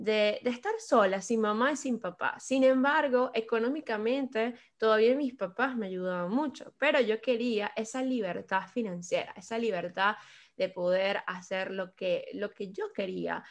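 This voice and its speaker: A woman speaks slowly-ish with a Venezuelan accent and a fairly high pitch. Her pitch varies in an ordinary way against a quiet background. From Venezuela, Caracas. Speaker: podcast guest sharing life story. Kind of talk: personal testimony in casual interview. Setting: remote call.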